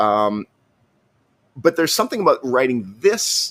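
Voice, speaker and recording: At a fairly quick pace, a man with a Canadian accent talks with lively intonation and medium pitch, the sound dry and close with no echo. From Canada. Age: 50s. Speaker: technology journalist. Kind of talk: interview conversation. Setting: podcast interview. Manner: halting, many repetitions; animated.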